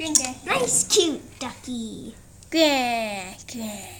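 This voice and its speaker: Someone performs a put-on character voice with lively intonation. Clear background noise runs underneath. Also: woman, high pitch for a woman. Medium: machinima. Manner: repetitive, eager.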